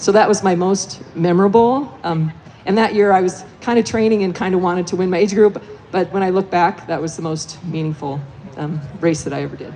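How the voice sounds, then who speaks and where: A woman's medium-pitched voice shows ordinary pitch variation, with noticeable background noise behind it. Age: 60s. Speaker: veteran mountain runner, former overall race winner. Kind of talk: live panel discussion, personal story. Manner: hesitant, many fillers.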